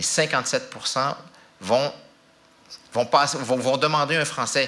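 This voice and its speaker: A man is speaking. His pace is moderate. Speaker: language office representative. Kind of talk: public talk. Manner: halting.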